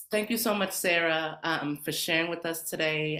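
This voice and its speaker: The voice has a bright, sharp tone, an American accent, and ordinary pitch variation. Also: woman. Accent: slight Jamaican accent that comes out. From Jamaican American. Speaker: podcast host and musician. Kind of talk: casual interview chat. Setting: live stream.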